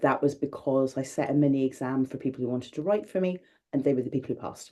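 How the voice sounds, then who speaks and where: This woman speaks with a Scottish accent. Her pitch is very deep and low. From Scotland. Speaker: magazine editor. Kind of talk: interview. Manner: loud.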